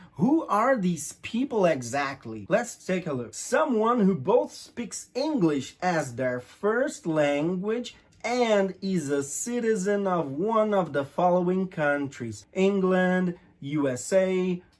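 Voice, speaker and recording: A man's high-pitched voice in a Brazilian accent, very slow with hardly any pauses and very wide pitch swings. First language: Portuguese. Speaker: English teacher. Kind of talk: lesson.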